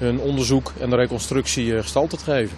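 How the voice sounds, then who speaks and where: A man at a fairly quick pace with ordinary pitch variation, dry sound with no echo, and light background noise. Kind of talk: interview answer. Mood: serious, calm. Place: street.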